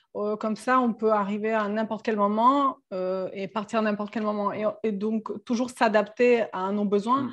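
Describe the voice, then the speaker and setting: Delivered in a Serbian accent at a fairly slow pace with hardly any pauses, the voice is monotone and flat against a quiet background. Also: woman, fairly high pitch for a woman. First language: Serbian (speaking French). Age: 30s. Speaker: sailor and travelling mother. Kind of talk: casual interview chat.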